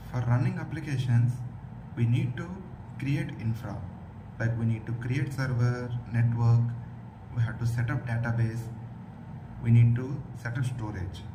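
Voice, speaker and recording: A man talks at a medium pitch with monotone, flat intonation and long, frequent pauses. Noticeable background noise and audible room echo fill the recording. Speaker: tech tutorial presenter. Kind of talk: tutorial. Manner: slow, deliberate.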